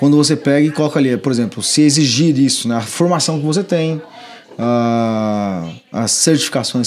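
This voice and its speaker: A man's fairly high-pitched ordinary speaking voice, at a moderate pace with ordinary pitch variation. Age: 30s. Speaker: electrical trade trainer and company director. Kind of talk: casual podcast chat, instructional.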